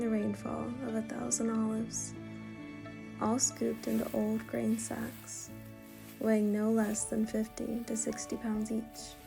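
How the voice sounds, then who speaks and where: A woman talks at a moderate speed as music plays in the background. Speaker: travel filmmaker. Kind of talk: travel vlog voice-over narration. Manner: calm, reflective.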